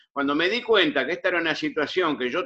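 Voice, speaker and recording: A man speaks with a bright, sharp tone. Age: 70s. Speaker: audience participant. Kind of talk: question from audience. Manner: halting.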